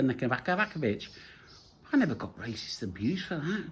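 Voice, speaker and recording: A man with an English Midlands accent speaks at a fairly high pitch. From English Midlands, Nottingham. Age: 60s. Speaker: vlogger. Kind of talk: casual monologue. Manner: repetitive, halting restarts.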